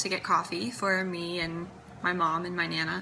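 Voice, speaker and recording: Against audible room echo, a woman talks at a fairly slow pace in a fairly low pitch. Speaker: singer-songwriter vlogger. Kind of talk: personal vlog talk. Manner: hesitant with fillers.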